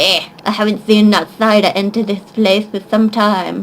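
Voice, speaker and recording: Putting on a gruff character voice, a woman speaks at medium pitch and a moderate pace. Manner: gruff, grunting, suspicious.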